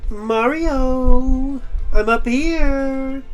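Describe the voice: A squeaky, put-on character voice with music in the background. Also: female-sounding voice, high pitch for a woman.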